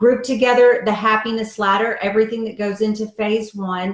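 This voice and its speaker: An ordinary speaking voice at a moderate pace. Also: woman. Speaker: diet coach and author. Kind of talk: live video chat with viewers.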